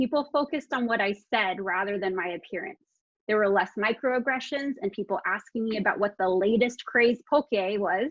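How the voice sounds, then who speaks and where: This woman has a plain, everyday voice pitched fairly high. She talks at a moderate pace with ordinary pitch variation. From continental US, Hawaiian heritage. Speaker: librarian. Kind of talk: conference presentation.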